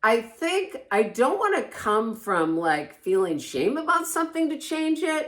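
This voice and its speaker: Loud and high-pitched, a woman speaks at a fairly slow pace with hardly any pauses and very wide pitch swings. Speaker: codependency recovery podcast co-host. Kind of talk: casual chat.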